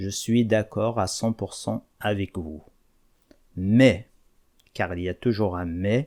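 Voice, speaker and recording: In an Algerian accent, a man speaks at a very slow pace with long, frequent pauses, his fairly low pitch showing ordinary variation, in a dry, close sound with no echo on a very clean recording with a silent background. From Kabylie, Algeria. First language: Kabyle (speaking French). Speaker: language teacher, YouTuber. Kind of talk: video monologue to viewers.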